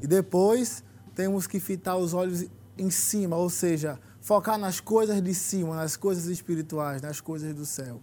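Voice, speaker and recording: A man with a high pitch and a dark, mellow tone speaks at a fairly slow pace with ordinary pitch variation. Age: young. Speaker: young church member, law student. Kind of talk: religious talk show discussion.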